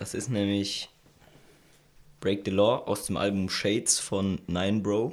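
A man speaks very slowly in a fairly low pitch with monotone, flat intonation and long, frequent pauses. The recording is very clean, with a silent background. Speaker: podcast host. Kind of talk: casual chat. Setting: recording room, friends drinking beer.

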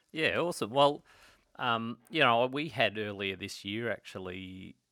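Bright and sharp in tone, a man talks at a moderate pace with an Australian accent and ordinary pitch variation. The recording is very clean, with a silent background. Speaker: podcast host, financial advisor. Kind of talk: casual interview.

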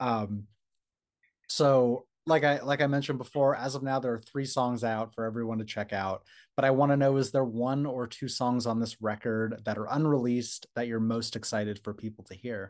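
An ordinary speaking voice, a man of medium pitch talks at a moderate pace with fairly even intonation over a quiet background. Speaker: interviewer. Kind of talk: casual interview.

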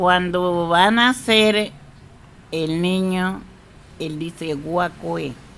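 A woman speaks at a very slow pace in a fairly low pitch, with long, frequent pauses. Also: ordinary pitch variation. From Colombia, Tumaco. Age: 80s+. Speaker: traditional midwife. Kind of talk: interview storytelling.

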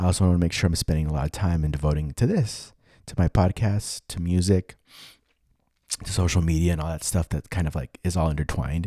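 Very fast, a man speaks at a very deep, low pitch with a dark, mellow tone and fairly even intonation. The recording is very clean with a silent background. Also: dry, close sound with no echo. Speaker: podcast host and musician. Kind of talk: solo monologue update. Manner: casual, rambling with fillers.

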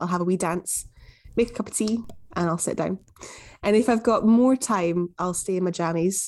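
A woman with a Glaswegian accent, medium in pitch, at a moderate pace, with ordinary pitch variation. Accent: Glaswegian Scottish. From Scotland, Glasgow. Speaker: music journalist. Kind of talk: interview conversation.

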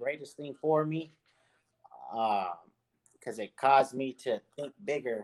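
Speaking at a fairly slow pace, a man holds a medium pitch. His pitch variation is ordinary.

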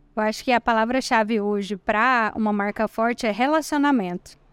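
A woman has a normal speaking voice with a fairly high pitch and ordinary pitch variation. The recording is very clean with a silent background, and the sound is dry and close with no echo. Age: 30s. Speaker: digital marketing entrepreneur. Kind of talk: interview. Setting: event studio at a college entrance.

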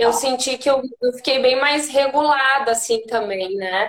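A woman with a southern Brazilian accent speaks at a high pitch. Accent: southern Brazilian (gaúcho) Portuguese. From Rio Grande do Sul, Brazil (Santana do Livramento). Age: 30s. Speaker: yoga teacher. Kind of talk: casual chat.

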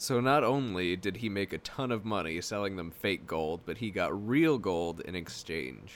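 At a moderate pace, a man with a plain, everyday voice and fairly low pitch talks with lively intonation and hardly any pauses. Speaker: podcast co-host. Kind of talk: casual banter podcast. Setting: home recording setup. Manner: joking, sarcastic.

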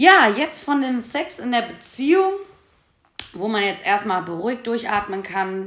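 A woman speaks with ordinary pitch variation amid audible room echo and noticeable background noise. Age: 20s. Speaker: podcast host. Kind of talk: casual chat.

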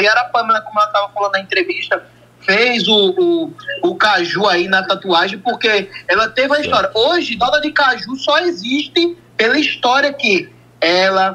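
Over music in the background, a man uses a raised, projected voice at a moderate pace, his pitch swinging very widely. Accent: northeastern Brazilian. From Brazil, Northeast. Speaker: caller, fan. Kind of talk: phone-in. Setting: phone call.

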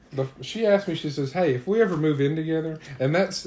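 Somewhat breathy and dark, mellow in tone, this man's fairly high voice moves at a fairly quick pace. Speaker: podcast co-host. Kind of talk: casual chat.

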